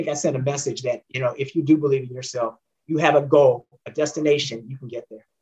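A somewhat breathy man with an American accent, very fast and fairly even in intonation. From Northern California (San Jose, Oakland). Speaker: former racing driver and engineer. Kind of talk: interview.

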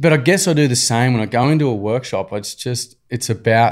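A man speaks at a moderate pace with an Australian accent. The recording is very clean, with a silent background. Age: 40s. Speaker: nonprofit founder. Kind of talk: casual chat.

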